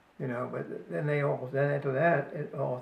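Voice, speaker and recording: A man's fairly high voice with ordinary pitch variation at a moderate pace, amid noticeable background noise and audible room echo. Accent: American. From US Northeast, New Jersey. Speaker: family elder interviewee. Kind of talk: casual chat. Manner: halting.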